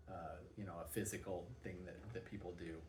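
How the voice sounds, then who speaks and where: A man speaks amid noticeable background noise, with audible room echo. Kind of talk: personal vlog monologue. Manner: halting, many fillers and repeats.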